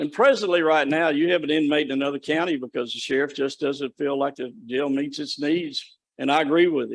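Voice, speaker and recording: A man with a normal speaking voice talks at a fairly quick pace, with hardly any pauses. His pitch is fairly high and his intonation fairly even. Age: 60s. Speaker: state corrections official presenting to county commission. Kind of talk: presentation at public meeting.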